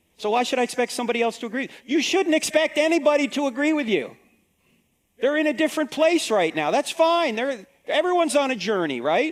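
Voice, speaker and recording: A man speaks at an extremely high pitch and a very fast pace. His intonation is lively. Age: 60s. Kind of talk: talk to an audience on apologetics. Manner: conversational.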